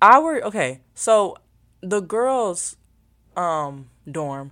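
Here a woman speaks with lively intonation. The recording is very clean and the background silent. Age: young. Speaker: podcaster and social media influencer. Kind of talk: casual solo chat. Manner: rambling, filler-heavy.

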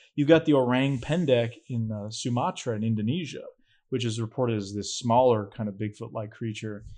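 With an American accent, the speaker talks at a fairly quick pace with ordinary pitch variation in a plain, everyday voice against a quiet background. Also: man, medium pitch for a man. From New Hampshire, US. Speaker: filmmaker and cryptid researcher. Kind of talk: casual chat.

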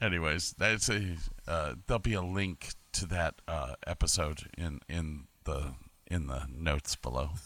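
With an American accent, a man speaks at a fairly slow pace in a very deep, low pitch with ordinary variation, a bright, sharp tone and vocal fry, on a very clean recording with a silent background. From Medina, Ohio. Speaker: podcaster, former cruise ship lighting technician and Navy sailor. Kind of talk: casual chat. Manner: halting, many repetitions.

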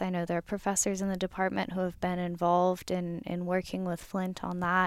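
A woman's medium-pitched voice comes through in a very clean recording with a silent background. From desert region. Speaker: PhD student. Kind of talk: interview. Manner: hesitant, many fillers.

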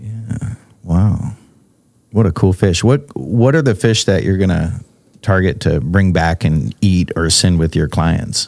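This man talks at a fairly slow pace in a very deep, low voice. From Alaska, Eagle River. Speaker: podcast host and musician. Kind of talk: podcast monologue; casual chat.

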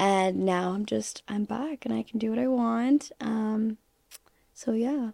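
With a dark, mellow tone and fairly high pitch, a woman speaks very slowly with lively intonation in a dry, close sound with no echo. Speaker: content creator and model. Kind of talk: casual chat podcast.

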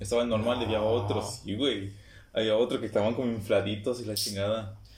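A man at medium pitch, speaking fairly quickly. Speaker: podcast co-host. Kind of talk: casual chat. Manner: animated.

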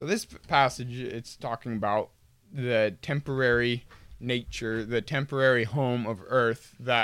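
A man with a normal speaking voice talks at a fairly slow pace. His pitch variation is ordinary, in a very clean recording with a silent background. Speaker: podcast host. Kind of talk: casual conversation about faith.

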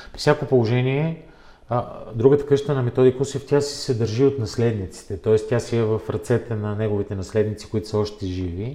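A man talks in a normal speaking voice at a medium pitch. His pace is moderate and his pitch variation ordinary. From Bulgaria, Plovdiv. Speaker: member of parliament and book publisher. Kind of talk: interview.

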